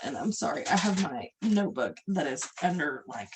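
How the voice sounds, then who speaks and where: Noticeable background noise around a female speaker talking at a moderate tempo. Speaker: workshop leader. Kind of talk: guided workshop instruction. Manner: casual, hesitant with fillers.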